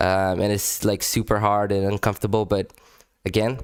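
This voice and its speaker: A man with a non-native accent talks at a fairly quick pace and fairly low pitch. The recording is very clean and dry, close with no echo, over a silent background. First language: not English. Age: adult. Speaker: language-learning YouTuber. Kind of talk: casual vlog commentary. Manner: halting, many repetitions and fillers; animated.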